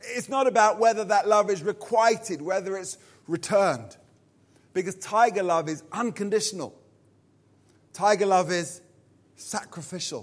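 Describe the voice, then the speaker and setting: Speaking in a southern English accent, a man uses a high pitch and takes long, frequent pauses. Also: ordinary pitch variation, moderate pace, very clean recording, silent background. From southern England, Purley, Surrey. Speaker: pastor. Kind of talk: sermon.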